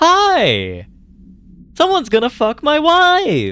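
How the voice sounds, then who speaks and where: Using a put-on character voice, a man talks at an extremely high pitch. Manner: excited, gleeful.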